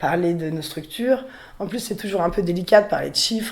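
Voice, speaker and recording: A woman talks at a fairly quick pace. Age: 20s. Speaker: riding school owner, young farmer. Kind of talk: interview testimony. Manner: hesitant, many fillers.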